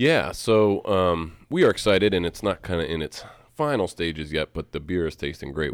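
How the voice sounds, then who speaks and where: A man with a very deep, low voice speaks at a moderate pace with lively intonation. The recording is very clean, with a silent background. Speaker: head brewer and co-owner. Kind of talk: casual chat. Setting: studio.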